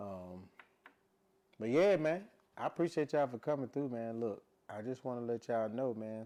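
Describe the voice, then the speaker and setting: With an American accent, a man speaks at a moderate pace in a relaxed, lively way, his medium-pitched voice dark and mellow, broken by long, frequent pauses. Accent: doesn't sound like he's from Louisiana. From Louisiana, US South (Shreveport). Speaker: musician and podcaster. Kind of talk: casual vlog monologue. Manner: relaxed, conversational, many fillers.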